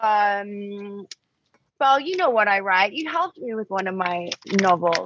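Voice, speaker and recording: Fairly slowly and with lively intonation, a woman speaks at a medium pitch in a dry, close recording with no echo. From Australia. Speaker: model and writer. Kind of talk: casual interview chat. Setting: podcast.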